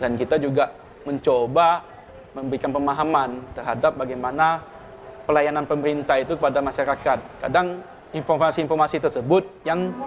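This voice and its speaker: Pitched fairly high, a man speaks at a fairly quick pace with ordinary pitch variation. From Pontianak, West Kalimantan, Indonesia. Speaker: civil servant, regional tax office head. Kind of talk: podcast interview. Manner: halting.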